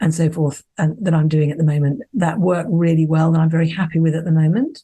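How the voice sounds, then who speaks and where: A woman speaks at a fairly quick pace in a fairly low pitch. Her voice is somewhat breathy, with fairly even intonation. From Scotland. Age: 60s. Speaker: psychologist and consciousness mentor. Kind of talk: podcast interview.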